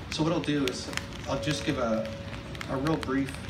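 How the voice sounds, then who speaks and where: A man at a fairly quick pace, ordinary pitch variation, over loud background noise. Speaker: speaker. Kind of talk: public speech. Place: stage.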